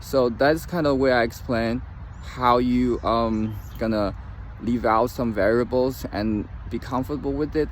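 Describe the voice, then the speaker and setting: A fairly slow pace with fairly even intonation. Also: man, medium pitch for a man. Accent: non-native. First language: not English. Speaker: trading commentator. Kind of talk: casual talk-to-camera advice. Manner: halting, many fillers; reads from notes at times.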